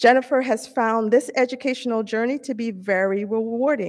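A woman talks at a moderate speed, with quiet all around her. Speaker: presenter. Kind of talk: award presentation speech. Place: hall. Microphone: podium.

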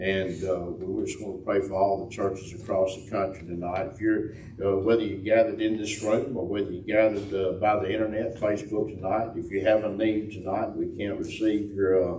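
A man's fairly low, somewhat breathy voice with a dark, mellow tone, audible room echo and light background noise. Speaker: host of a church teaching panel. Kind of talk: church announcements and prayer lead-in. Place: church. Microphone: camera far.

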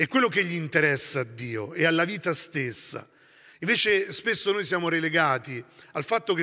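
Against a quiet background, a man talks at a fairly high pitch with lively intonation and a bright, sharp tone. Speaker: priest, community leader; priest. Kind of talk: sermon-like talk. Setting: monastery gathering with audience. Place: church. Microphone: handheld.

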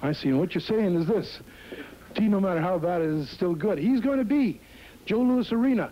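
A man's high, dark, mellow voice with lively intonation, very even loudness and a fairly quick pace. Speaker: wrestling announcer. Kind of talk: TV event promo announcement. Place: studio. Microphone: handheld.

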